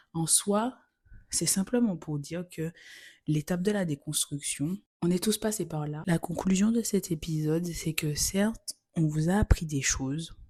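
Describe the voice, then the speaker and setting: A woman's fairly low voice has a dark, mellow tone and sounds somewhat breathy. She talks at a fairly slow pace with ordinary pitch variation. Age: 20s. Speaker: podcast host. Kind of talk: solo podcast monologue. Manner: casual, conversational.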